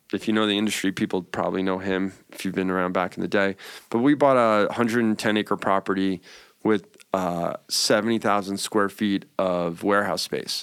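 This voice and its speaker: A man with a normal speaking voice and an American accent talks at a moderate pace with fairly low pitch and fairly even intonation, in a very clean recording over a silent background. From New York. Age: 40s. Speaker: cannabis entrepreneur. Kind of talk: casual chat.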